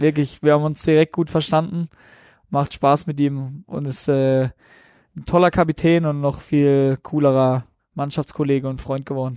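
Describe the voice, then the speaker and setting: A man with a normal speaking voice talks at a moderate pace, fairly high in pitch with fairly even intonation, in a dry, close sound with no echo. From southern Baden, Germany. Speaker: professional footballer. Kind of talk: casual interview.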